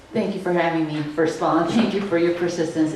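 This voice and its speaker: Speaking with a Wisconsin accent at a fairly low pitch, a woman is heard amid noticeable background noise and audible room echo. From Wisconsin, Grafton. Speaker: political science professor. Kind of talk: public interview conversation.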